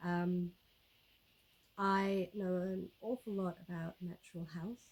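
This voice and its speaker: A woman's fairly low, somewhat breathy voice with fairly even intonation. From South Africa. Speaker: YouTuber, homesteader. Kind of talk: casual vlog talk to camera. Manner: relaxed, many fillers and repetitions.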